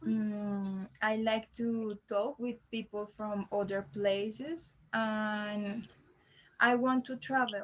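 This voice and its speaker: A woman with a Colombian accent speaks in a somewhat breathy, fairly high voice with ordinary pitch variation. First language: Spanish. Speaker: language learner. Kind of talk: mock exam interview. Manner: halting.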